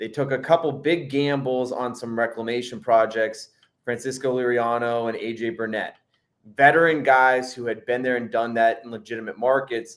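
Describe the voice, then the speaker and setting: This man has an ordinary speaking voice, talking at a moderate pace in a medium pitch. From western Pennsylvania. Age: 30s. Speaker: sports journalist. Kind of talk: casual sports chat.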